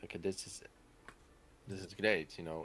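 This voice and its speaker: A man's very deep, low voice in a flat monotone at a fairly quick pace. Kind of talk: casual chat. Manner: halting.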